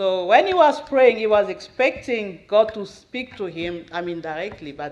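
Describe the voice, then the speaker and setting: In a Central African accent, a speaker talks at a fairly slow pace against a quiet background. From Democratic Republic of the Congo. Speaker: missionary's wife giving testimony. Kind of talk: testimony. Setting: church, at the podium.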